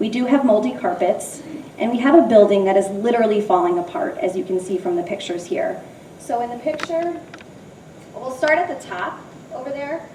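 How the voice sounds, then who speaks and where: A loud woman with an American accent speaks at a fairly quick pace in a high pitch, her voice making very wide pitch swings amid audible room echo and noticeable background noise. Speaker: middle school teacher. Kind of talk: public presentation. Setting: school building open house, audience present.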